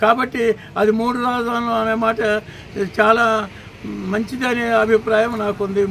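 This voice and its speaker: A man's voice sits at an extremely high pitch while noticeable background noise carries on. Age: old. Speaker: local party official. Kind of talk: street interview answer. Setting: outdoors.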